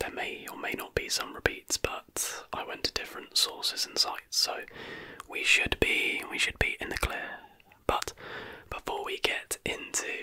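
At a fairly slow pace, a man whispers. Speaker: ASMR creator. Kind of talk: casual vlog chat. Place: home room. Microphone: studio mic.

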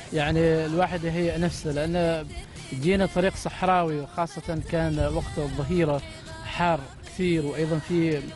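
Over clear background music, a man speaks fairly slowly in a flat monotone, the sound dry with no echo. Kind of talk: interview answer. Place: car. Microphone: handheld.

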